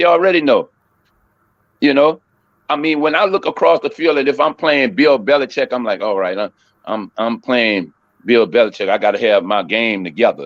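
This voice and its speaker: A man with a fairly high pitch and vocal fry, very wide pitch swings, a moderate pace, and long, frequent pauses. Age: 60s. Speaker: sports podcast co-host. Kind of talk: casual chat. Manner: repetitive stammering restarts; animated.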